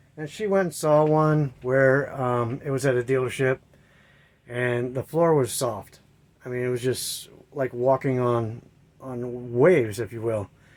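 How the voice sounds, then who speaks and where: In an ordinary speaking voice, a man talks at a moderate pace with a medium pitch and ordinary pitch variation. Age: 60s. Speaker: camper owner vlogger. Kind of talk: casual walkthrough vlog. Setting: inside a camper trailer. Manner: casual, rambling with fillers.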